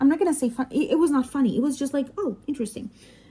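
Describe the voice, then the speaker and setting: A woman's high, dark, mellow voice with very wide pitch swings, in a Spanish accent, on a very clean recording with a silent background. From Mexico. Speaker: doctor and diamond painting vlogger. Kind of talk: casual chat. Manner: halting, many fillers.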